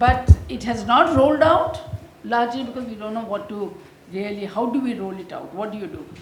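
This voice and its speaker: Fairly quick and lively in intonation, a woman's high-pitched voice comes with audible room echo and noticeable background noise. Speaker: former health official. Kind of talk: panel discussion.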